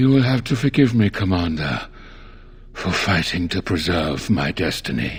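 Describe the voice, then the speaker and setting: Using a put-on character voice, a man speaks at a very deep, low pitch with very wide pitch swings. His pace is moderate, and there is light background noise. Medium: video game. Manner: calm, measured, formal.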